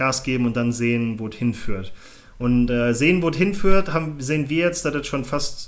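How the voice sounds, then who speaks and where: With an ordinary speaking voice at a medium pitch, a man talks at a moderate pace and with lively intonation. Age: 20s. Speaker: podcast co-host. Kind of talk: casual chat.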